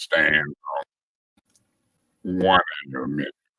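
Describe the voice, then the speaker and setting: The man's voice has a dry, close sound with no echo. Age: 60s. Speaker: city council member. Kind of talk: council meeting debate.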